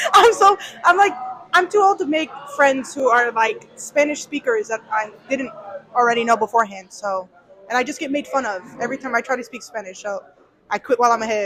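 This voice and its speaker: With noticeable background noise behind her, a woman talks fairly quickly at a high pitch, making very wide pitch swings. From US, Mexican-American family. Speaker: student podcast participant. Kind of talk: casual discussion.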